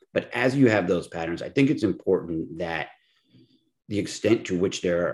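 A man with a normal speaking voice talks at a fairly quick pace in a fairly low pitch. His intonation is lively, and the background is quiet. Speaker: law school advocacy program director. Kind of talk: interview.

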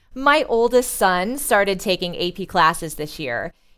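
A woman with an American accent speaks in an ordinary speaking voice at medium pitch. Her intonation is lively and her pace moderate. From US Midwest, Indiana. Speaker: school counselor and AP coordinator. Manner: polished, professional.

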